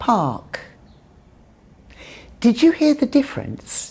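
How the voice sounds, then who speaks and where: A woman with a British accent at a very slow pace. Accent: British, non-rhotic. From England. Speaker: English teacher. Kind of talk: pronunciation lesson.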